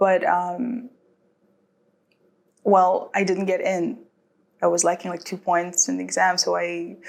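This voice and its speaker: A woman speaks at a fairly slow pace. Her pauses are long and frequent. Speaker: international student. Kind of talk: interview testimony.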